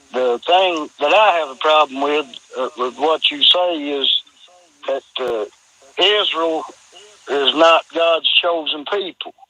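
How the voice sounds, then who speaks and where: A man speaks at a very slow pace, his pitch fairly high for a man. His pitch variation is ordinary, with long, frequent pauses. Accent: Appalachian. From Kentucky, US South. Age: 50s. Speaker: caller. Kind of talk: phone-in question. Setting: phone call. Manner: halting, stammering.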